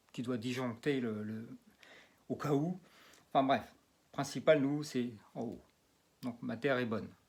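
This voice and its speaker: On a very clean recording with a silent background, a man speaks with fairly high pitch and ordinary pitch variation. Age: 60s. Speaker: magnetic healer and geobiologist. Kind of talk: demonstration video. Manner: halting, many fillers and repetitions.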